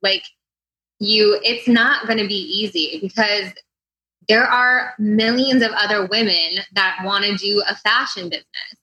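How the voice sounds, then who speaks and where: A woman with an American accent uses a plain, everyday voice, fairly high in pitch with ordinary variation, at a fairly slow pace. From US Midwest, St. Louis. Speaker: entrepreneur. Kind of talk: interview.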